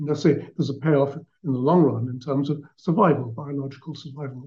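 A man talks at a fairly quick pace. His tone is dark and mellow, and somewhat breathy. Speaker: psychologist and author. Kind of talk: radio interview.

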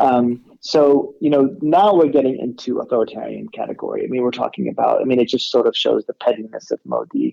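A man talking at a fairly quick pace with hardly any pauses, in a dry, close sound with no echo. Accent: Californian. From California, US. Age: 40s. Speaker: academic and writer on India. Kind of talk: interview discussion.

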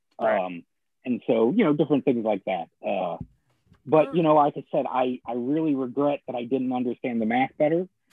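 A man's normal speaking voice, medium in pitch, with lively intonation at a moderate pace. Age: 40s. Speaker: comic shop owner and blogger. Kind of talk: casual chat. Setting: live stream.

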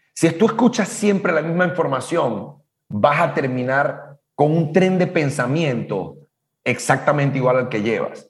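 This is a man with a normal speaking voice. His intonation is lively. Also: fairly high pitch for a man, fairly slow pace. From Latin America. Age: 50s. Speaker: business coach. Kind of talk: casual chat.

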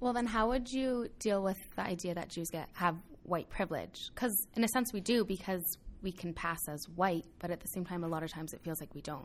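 A woman with an ordinary speaking voice talks at a fairly quick pace, medium in pitch with ordinary pitch variation. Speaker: college student. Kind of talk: group discussion.

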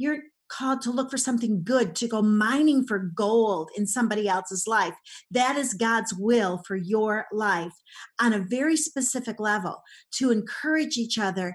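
On a very clean recording with a silent background, a woman with a fairly high, somewhat breathy voice speaks at a moderate pace in an animated tone with lively intonation. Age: 60s. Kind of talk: interview.

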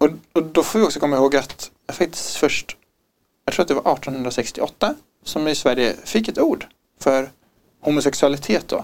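A man talks at a moderate pace with long, frequent pauses. His fairly high pitch shows ordinary pitch variation. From Stockholm, Sweden. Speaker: podcast guest. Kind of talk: personal testimony.

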